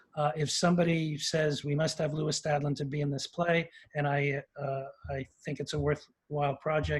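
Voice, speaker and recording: The speaker has a New York accent and a somewhat breathy voice. The pace is moderate and the intonation monotone and flat. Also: man. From New York, Queens. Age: 70s. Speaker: actor. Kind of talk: interview. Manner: halting.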